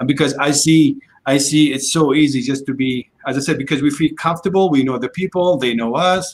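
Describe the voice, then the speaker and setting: At a fairly quick pace, an unremarkable speaking voice moves with fairly even intonation. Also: man, fairly high pitch for a man. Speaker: community talk show host. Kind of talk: casual interview questions.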